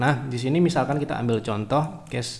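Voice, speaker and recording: A man speaks with vocal fry. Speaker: stock market analyst. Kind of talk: livestream market analysis. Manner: soft-spoken; halting.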